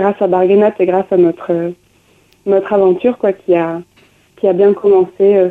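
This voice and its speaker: A woman speaks fairly slowly at a medium pitch in a monotone, flat delivery. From southern France, Aveyron. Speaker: musician and dancer. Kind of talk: radio interview.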